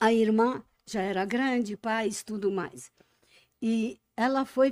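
A woman's fairly high voice with lively intonation against a quiet background. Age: old. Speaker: Holocaust survivor. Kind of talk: interview. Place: studio. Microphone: studio mic.

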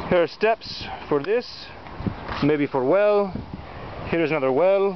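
A man with a high voice talks at a fairly slow pace over noticeable background noise, his loudness very even and his pitch varying an ordinary amount. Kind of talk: casual on-location talk to camera. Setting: outdoors. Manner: slow, deliberate, clear.

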